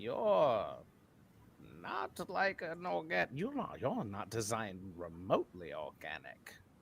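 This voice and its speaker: The speaker is a man doing a put-on character voice. His pace is fairly slow. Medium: actual play. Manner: curt, clinical.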